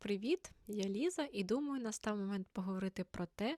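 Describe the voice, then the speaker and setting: A woman has a normal speaking voice and a medium pitch with lively intonation. Her sound is dry and close, with no echo. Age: 20s. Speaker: author and teacher, book blogger. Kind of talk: casual vlog monologue.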